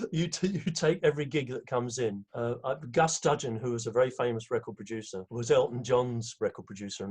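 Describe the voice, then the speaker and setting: A man's fairly quick speech with an English accent, medium pitch and ordinary pitch variation. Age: 70s. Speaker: conductor and arranger. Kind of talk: interview.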